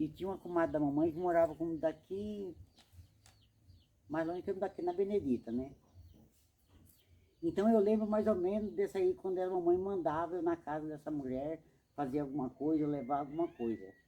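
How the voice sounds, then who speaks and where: Delivered at a fairly quick pace with ordinary pitch variation and a dark, mellow tone, the speech is broken by long, frequent pauses. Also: woman, fairly low pitch for a woman. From Brazil, Alagoas (Northeast), moved to Mato Grosso at 7-8. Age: 70s. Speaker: elderly woman interviewed in student documentary. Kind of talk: casual life-story interview. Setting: at her home.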